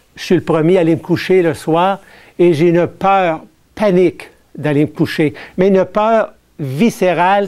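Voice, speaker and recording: Over a silent background in a very clean recording, a man talks fairly slowly in a high pitch with ordinary pitch variation. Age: 60s. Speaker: artist and alleged abductee. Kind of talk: public lecture. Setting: stage with audience.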